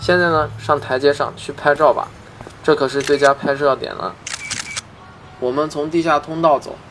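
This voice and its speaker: A man with a fairly high, monotone, flat voice speaks at a moderate pace with long, frequent pauses over noticeable background noise. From Xi'an, China. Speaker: audio tour guide. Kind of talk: guided audio walking tour.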